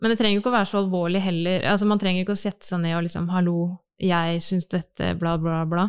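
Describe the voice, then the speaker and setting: A woman at a very fast pace and medium pitch, very even in loudness, the sound dry and close with no echo against a quiet background. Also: fairly even intonation. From Norway, Bamble in Telemark. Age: 30s. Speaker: advertising agency worker. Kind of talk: casual chat.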